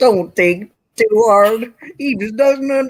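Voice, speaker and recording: A put-on character voice moves at a moderate pace with a fairly high pitch. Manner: irritated, dismissive.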